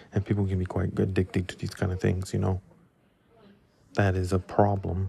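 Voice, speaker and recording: Somewhat breathy, a man with a very deep, low pitch speaks at a fairly quick pace. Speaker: solo podcast host. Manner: monotone, flat, little energy.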